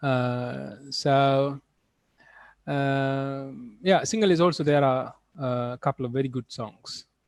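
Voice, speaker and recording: A man with a Tamil accent speaks at a very slow pace, leaving long, frequent pauses. His fairly high pitch shows ordinary variation, and the sound is dry and close with no echo. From Sri Lanka. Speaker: teacher. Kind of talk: casual chat. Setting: video call.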